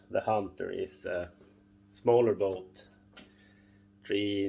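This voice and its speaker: With a Swedish accent, a man speaks at a very slow pace, fairly low in pitch and somewhat breathy. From northern Sweden. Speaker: boat owner and fishing vlogger. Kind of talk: casual tutorial. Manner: halting, many fillers.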